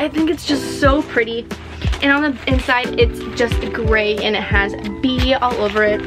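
Clear music plays in the background as a woman talks at a fairly slow pace. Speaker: collector vlogger. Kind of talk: casual vlog chat. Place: home room.

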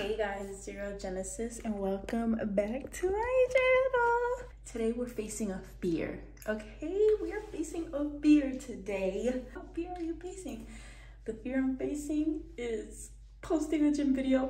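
A woman speaks at a fairly slow pace. There is audible room echo and light background noise. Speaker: fitness vlogger. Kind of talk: casual vlog chat. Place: bathroom. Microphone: phone near.

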